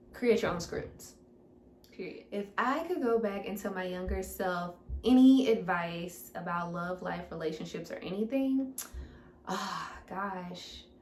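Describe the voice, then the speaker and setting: A woman with an American accent speaks at a fairly slow pace and a medium pitch, her intonation lively and her tone animated. Audible room echo surrounds her voice. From US Midwest, St. Louis, Missouri. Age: 20s. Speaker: fitness coach. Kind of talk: Q&A monologue to camera. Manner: casual, animated.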